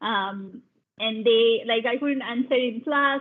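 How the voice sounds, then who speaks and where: A woman speaks at a high pitch with fairly even intonation. Her pace is moderate. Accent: Bengali. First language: Bengali. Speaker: science program lead. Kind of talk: panel talk, personal story. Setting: video call webinar. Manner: halting, many fillers.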